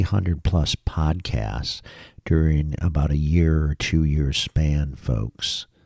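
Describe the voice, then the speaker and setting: In a dry, close recording with no echo, a man speaks at a fairly slow pace with a very deep, low pitch. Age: 50s. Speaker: podcast host. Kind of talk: news commentary. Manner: casual, hesitant with fillers.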